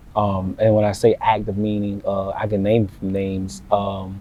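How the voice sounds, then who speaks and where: Against noticeable background noise, a man speaks with an American accent. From US South, Savannah, Georgia. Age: 20s. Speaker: local influencer. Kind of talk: podcast interview.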